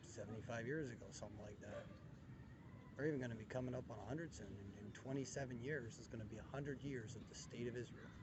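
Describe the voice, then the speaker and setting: In a room with audible echo, a man speaks very fast at a medium pitch with ordinary pitch variation. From Canada. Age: 30s. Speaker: vlogger. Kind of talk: casual monologue vlog. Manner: halting.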